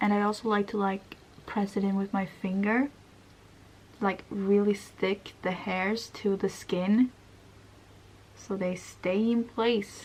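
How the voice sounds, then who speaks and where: With a Swedish accent, a woman speaks at a very slow pace in a medium pitch with fairly even intonation and long, frequent pauses. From Sweden. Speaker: beauty vlogger. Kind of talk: makeup tutorial. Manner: casual, many fillers.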